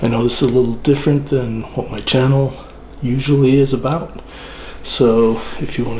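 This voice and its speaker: Someone is whispering at a moderate pace, with audible room echo and noticeable background noise. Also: man. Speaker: channel host, home barbecue cook. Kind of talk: tutorial. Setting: at home, early morning by the smoker.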